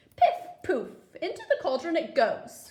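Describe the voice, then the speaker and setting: A woman puts on a character voice at an extremely high pitch, speaking at a fairly slow pace with very wide pitch swings. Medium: read story. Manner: coaxing, playful.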